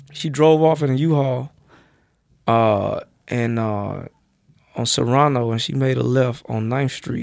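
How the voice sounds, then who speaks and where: A man with an American accent at medium pitch, a fairly slow pace and long, frequent pauses. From US South, Georgia (Athens, near Atlanta). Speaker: comedian. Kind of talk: casual chat.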